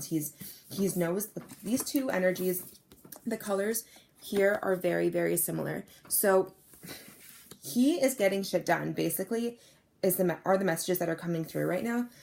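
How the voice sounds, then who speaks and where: A woman puts on a character voice that is raspy, at medium pitch. She speaks at a moderate pace with ordinary pitch variation. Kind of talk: halting, words not coming easily. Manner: stuttering, halting.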